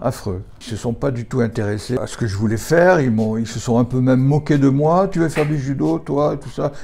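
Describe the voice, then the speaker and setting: Over noticeable background noise, a man with a medium pitch talks at a fairly quick pace with lively intonation and hardly any pauses. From France, Saint-Étienne area. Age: 70s. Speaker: judo teacher. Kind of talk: interview. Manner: halting.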